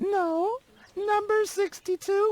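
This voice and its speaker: A squeaky, put-on character voice talks at an extremely high pitch. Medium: video game.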